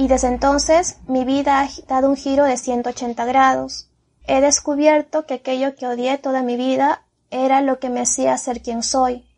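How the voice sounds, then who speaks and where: Slowly and at a high pitch, a woman speaks with monotone, flat intonation. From Peru. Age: 30s. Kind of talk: personal testimony.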